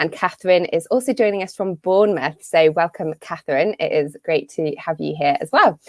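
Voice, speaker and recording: A woman with a British accent and a medium pitch talks at a fairly quick pace with lively intonation, in a dry, close sound with no echo. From UK. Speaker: business coach and marketer. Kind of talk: live webinar talk. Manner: casual with many fillers.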